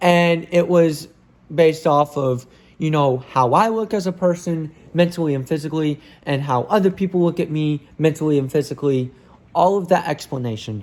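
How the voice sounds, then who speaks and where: Moderate pace and ordinary pitch variation on a very clean recording, silent background. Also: man, fairly high pitch for a man. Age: 20s. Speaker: vlogger. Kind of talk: personal monologue to camera. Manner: unscripted, halting with restarts.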